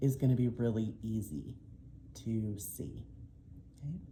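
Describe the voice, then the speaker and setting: A woman with an American accent speaks in a dark, mellow tone, somewhat breathy, with audible room echo. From Oklahoma. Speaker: diamond painting YouTuber and English teacher. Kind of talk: casual haul video. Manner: frequent filler ums.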